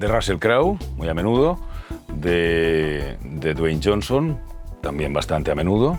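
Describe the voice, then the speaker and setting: Over music in the background, a man with a very deep, low voice speaks in a relaxed tone with lively intonation. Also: fairly slow pace. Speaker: voice actor. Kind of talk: interview answer. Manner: relaxed, conversational.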